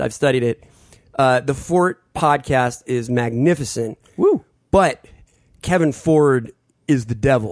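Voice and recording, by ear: A natural voice reads aloud over a quiet background.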